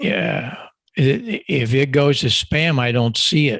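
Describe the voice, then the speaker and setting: Very slowly, a man talks in a fairly high voice. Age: 80s+. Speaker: audio engineer and ham radio expert. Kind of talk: ham radio chat.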